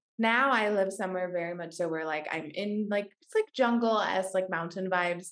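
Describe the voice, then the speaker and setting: With an American accent, a woman in an unremarkable speaking voice talks at a fairly quick pace with hardly any pauses, a medium pitch, ordinary pitch variation and big swings in loudness. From US Pacific Northwest, Washington State. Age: 20s. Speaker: podcast host. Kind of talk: podcast interview.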